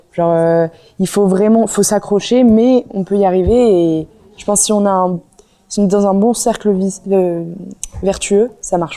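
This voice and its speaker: Her voice sits at a medium pitch for a woman, with fairly even intonation and a dark, mellow tone. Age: 20s. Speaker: student athlete, water polo player. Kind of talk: interview testimony. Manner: hesitant, many fillers.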